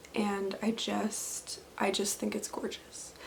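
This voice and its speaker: Noticeable background noise behind a woman talking at a very slow pace. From Canada, southwestern Ontario. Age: 20s. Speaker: knitting podcaster and teacher. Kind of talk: casual video podcast monologue. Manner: relaxed, frequent fillers.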